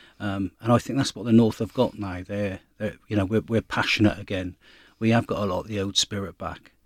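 In a very clean, dry, close recording with a silent background and no echo, a man speaks at a moderate pace and fairly low pitch in a monotone, flat intonation. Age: 50s. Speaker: rugby club president. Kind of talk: interview. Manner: halting, many fillers and repetitions.

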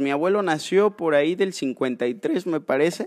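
A man speaks in a high voice on a very clean recording with a silent background. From Mexico, Córdoba, Veracruz. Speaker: wildlife rescuer and biologist. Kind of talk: casual chat. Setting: in person at the guest's sanctuary.

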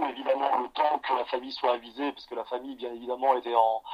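There is noticeable background noise. Through it, a man talks at a medium pitch. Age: 40s. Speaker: police officer. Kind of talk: interview. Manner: halting.

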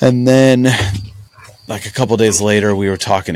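This man has an ordinary speaking voice, pitched fairly low, talking at a fairly quick pace with ordinary pitch variation. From central Illinois (near Peoria). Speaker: podcast co-host. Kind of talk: casual chat. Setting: outdoors.

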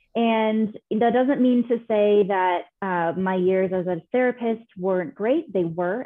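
A woman with an American accent speaks in a plain, everyday voice at a medium pitch and fairly slow pace, with ordinary pitch variation and hardly any pauses. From California. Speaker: business consultant. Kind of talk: interview.

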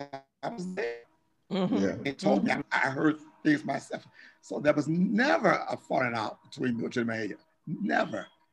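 A man speaks at a fairly high pitch and a moderate pace, with vocal fry. His pitch swings very widely. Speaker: organist and choir musician. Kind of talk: casual interview chat.

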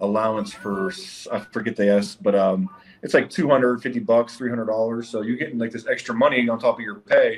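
A man with an American accent talks at a fairly quick pace. He has a normal speaking voice at medium pitch. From Ohio. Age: 40s. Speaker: army veteran, company executive. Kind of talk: casual interview.

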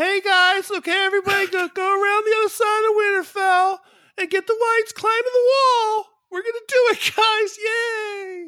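A put-on character voice at an extremely high pitch and a moderate pace, on a very clean recording with a silent background. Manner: goofy, cheerful.

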